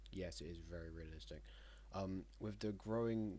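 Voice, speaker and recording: A man at a moderate pace, with audible room echo. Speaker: map game commentator. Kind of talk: casual gameplay narration. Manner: halting.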